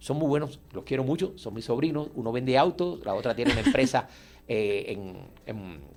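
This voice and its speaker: With a normal speaking voice, a man talks at a moderate pace and a medium pitch. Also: lively intonation. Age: 60s. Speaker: artist and painter. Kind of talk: radio interview.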